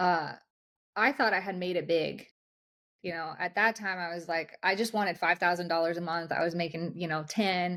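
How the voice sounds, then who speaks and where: A plain, everyday voice. A woman with a fairly low pitch speaks at a moderate pace with fairly even intonation. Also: very clean recording, silent background. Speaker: high-performance coach. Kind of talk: interview.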